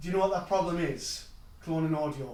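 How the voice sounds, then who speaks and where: A man speaks in a Geordie accent, with audible room echo. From northeast England (Newcastle). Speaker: technology speaker. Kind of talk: conference talk.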